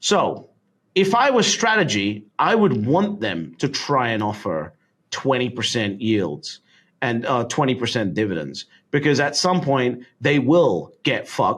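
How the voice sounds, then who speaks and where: A British accent with vocal fry, very wide pitch swings and a fairly slow pace. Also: man, medium pitch for a man. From London, England. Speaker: Bitcoin investor. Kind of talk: podcast interview answer.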